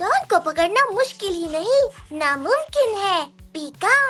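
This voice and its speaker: Putting on a character voice, a woman speaks at an extremely high pitch and a fairly slow pace. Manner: cute, squeaky creature-like.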